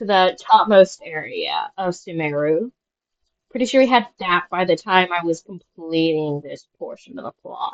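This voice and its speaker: At a fairly slow pace, a woman speaks at medium pitch with lively intonation in a dry, close sound with no echo. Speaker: gaming video creator. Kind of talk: casual monologue. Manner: halting, many fillers; mumbling at times.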